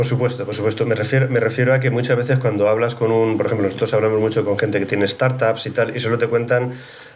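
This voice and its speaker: A man speaks very fast at a medium pitch, his loudness very even and his intonation monotone and flat, with noticeable background noise behind him. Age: 60s. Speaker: HR executive and psychologist. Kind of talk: casual interview conversation.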